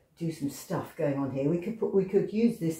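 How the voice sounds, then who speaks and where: Intonation is lively and the pace fairly slow, with audible room echo. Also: woman. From England. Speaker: pastel artist. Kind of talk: tutorial. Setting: home studio. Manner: hesitant.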